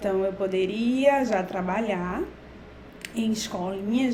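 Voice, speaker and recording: Someone with a Pernambuco accent talks at a fairly slow pace, with noticeable background noise and audible room echo. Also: woman. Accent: Brazilian Portuguese, Pernambuco. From Brazil, Recife (Pernambuco). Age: 40s. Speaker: professor. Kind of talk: talk for students.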